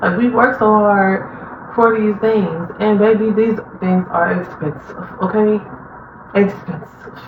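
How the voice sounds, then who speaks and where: Fairly slow, fairly even speech with audible room echo and noticeable background noise. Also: woman, medium pitch for a woman. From Chicago, Illinois, US. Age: 20s. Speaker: vlogger. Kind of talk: casual personal monologue. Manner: many fillers and hesitations.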